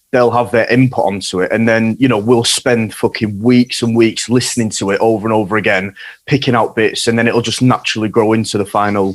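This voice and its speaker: With a Yorkshire accent, a man speaks in a monotone, flat intonation at a fairly quick pace with hardly any pauses. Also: medium pitch for a man. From Yorkshire, northern England. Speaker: hardcore band guitarist. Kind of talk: casual chat.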